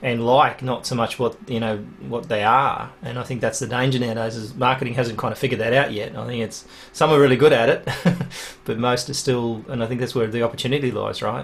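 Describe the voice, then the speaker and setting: Over noticeable background noise, a man with an Australian accent talks at a very fast pace in a flat, monotone way. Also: medium pitch for a man. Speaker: podcast host. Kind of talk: interview conversation.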